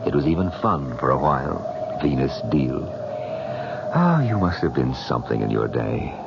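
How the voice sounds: A put-on character voice swings widely in pitch, with vocal fry. Background noise is clearly heard. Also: man, extremely low pitch for a man, moderate pace.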